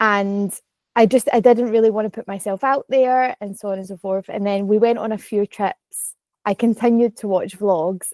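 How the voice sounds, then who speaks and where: A woman with a Glaswegian accent, medium pitch, fairly even intonation, moderate pace and big swings in loudness, in a dry, close sound with no echo. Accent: Glaswegian Scottish. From Scotland, Glasgow. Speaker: content creator, vlogger. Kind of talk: casual podcast chat. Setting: podcast recording.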